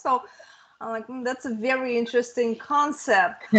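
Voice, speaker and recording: A woman with a Russian accent speaks at a high pitch. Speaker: fantasy author. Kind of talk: interview.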